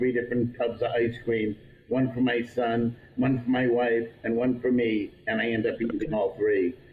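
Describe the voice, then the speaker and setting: This man's voice is somewhat breathy and sits at a medium pitch. He keeps a moderate pace with fairly even intonation. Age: 60s. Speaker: pizza restaurant owner. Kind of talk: casual interview chat.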